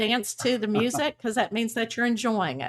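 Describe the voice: A woman talks with a Texas accent. Her pitch is fairly high. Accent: Texas drawl.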